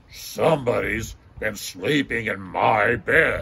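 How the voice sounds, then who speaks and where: A fairly slow, put-on character voice with a raspy sound. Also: man, medium pitch for a man. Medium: read story.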